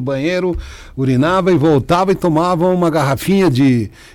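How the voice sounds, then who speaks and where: Here is a normal speaking voice with ordinary pitch variation. The pace is moderate. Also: man. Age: 50s. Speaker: patient, sales representative. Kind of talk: radio interview.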